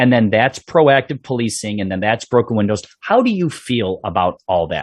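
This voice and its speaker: A man with a Chicago accent uses lively intonation in a dry, close sound with no echo. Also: medium pitch for a man, moderate pace. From Chicago South Side (Bridgeport). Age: 50s. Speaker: police sergeant, podcast host. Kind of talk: interview podcast. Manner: casual.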